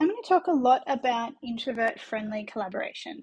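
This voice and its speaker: Speaking at a moderate pace with lively intonation, a woman talks in an Australian accent. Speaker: business coach. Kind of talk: conference presentation. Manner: hesitant with frequent fillers.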